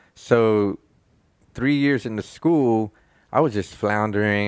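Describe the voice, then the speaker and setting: A man with an unremarkable speaking voice talks at a fairly slow pace, using ordinary pitch variation. The recording is very clean, with a silent background. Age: 40s. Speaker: podcast host. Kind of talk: casual chat.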